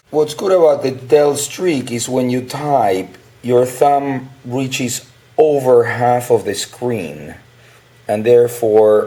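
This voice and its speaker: Very slow speech from a man at a medium pitch, with noticeable background noise. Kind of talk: casual talk to camera, product review.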